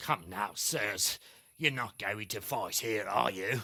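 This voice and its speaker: A man does a raspy, put-on character voice at a fairly slow pace, pitched fairly low with ordinary pitch variation. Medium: video game.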